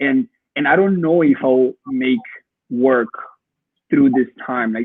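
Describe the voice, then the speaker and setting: Speaking at a medium pitch with a Spanish accent, a man shows ordinary pitch variation. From Colombia. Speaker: photographer. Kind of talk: interview. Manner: halting, many repetitions.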